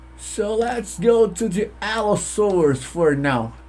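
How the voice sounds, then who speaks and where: A man speaks with a Portuguese accent. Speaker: gaming YouTuber. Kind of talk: let's play commentary. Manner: halting, self-correcting.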